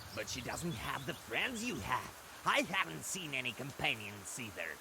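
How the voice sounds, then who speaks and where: A man at medium pitch does a put-on character voice at a moderate pace. Loud background noise runs underneath. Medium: machinima.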